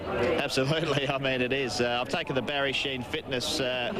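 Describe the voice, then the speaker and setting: A man with an Australian accent speaks at a medium pitch amid noticeable background noise and audible room echo. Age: young. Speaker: racing driver. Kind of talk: pre-race grid interview.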